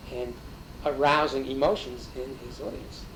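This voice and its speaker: A man speaks at a fairly high pitch. Noticeable background noise and audible room echo are present. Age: 60s. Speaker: interviewee, folk music scene figure. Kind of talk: interview. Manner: hesitant with fillers.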